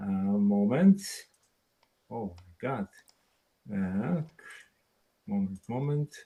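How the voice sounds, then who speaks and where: A man's fairly low, dark, mellow voice with a Polish accent, at a very slow pace with long, frequent pauses, ordinary pitch variation, and a dry, close sound with no echo. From Poland, Szczecin. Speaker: experimental photographer. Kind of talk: webinar presentation. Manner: halting.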